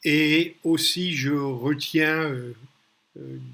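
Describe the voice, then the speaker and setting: A man's voice carries a bright, sharp tone with fairly even intonation. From New York, US (emigrated from Paris at five). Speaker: business mentor and investor. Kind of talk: business talk to camera. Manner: direct; halting with fillers.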